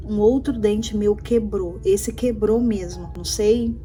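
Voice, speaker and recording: With music in the background, a woman speaks at a moderate pace in a fairly high voice. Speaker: vlogger. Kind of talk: personal vlog. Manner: soft-spoken.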